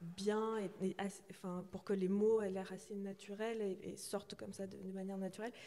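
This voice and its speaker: A woman speaks at medium pitch with a dark, mellow tone. Her pace is fairly slow. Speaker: novelist. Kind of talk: festival panel discussion. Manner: halting, many fillers.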